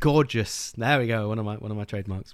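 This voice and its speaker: Speaking with an English accent, a man uses a medium pitch and a moderate pace. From England. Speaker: book podcast host. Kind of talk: casual chat.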